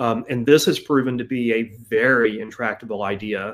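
A man speaks with an American accent. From US South, Georgia. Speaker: author and researcher on magic and linguistics; interview guest. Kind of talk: interview. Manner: halting, many fillers. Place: home room.

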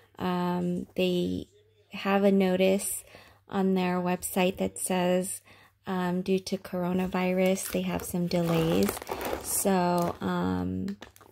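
A woman talks very slowly, pausing often and at length, while noticeable background noise carries on around her. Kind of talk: casual vlog chat. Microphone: phone near.

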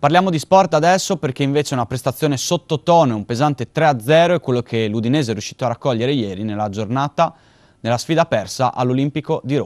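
A man talking at a very fast pace, with lively intonation over a quiet background. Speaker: regional news anchor. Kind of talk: news reading. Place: studio. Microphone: lapel.

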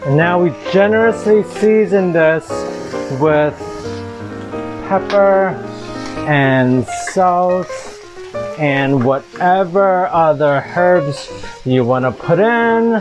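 Speech comes at a very slow pace with long, frequent pauses. Clear music plays in the background. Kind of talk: cooking tutorial. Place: kitchen. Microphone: phone near.

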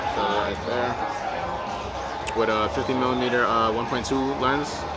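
A man talks over loud music in the background. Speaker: vlogger. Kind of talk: casual vlog chat. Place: hall. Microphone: phone near.

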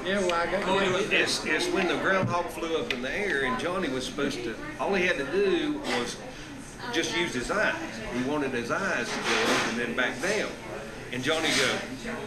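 A man talks at a moderate pace. Music plays in the background. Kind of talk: casual storytelling chat. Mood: amused, laughing. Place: shop.

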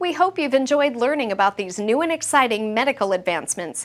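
Fairly high pitch from a woman, moving at a fairly quick pace. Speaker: show narrator and announcer. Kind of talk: scripted narration. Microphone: lapel.

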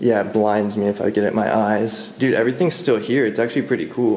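A man at a fairly quick pace, with audible room echo and light background noise. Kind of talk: casual vlog chat. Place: empty room. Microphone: phone near.

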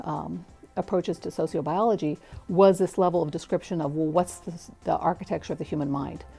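A woman talks at a moderate pace with a fairly low pitch and ordinary pitch variation. Faint music plays in the background. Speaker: interviewee. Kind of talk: interview answer. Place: studio. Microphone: lapel.

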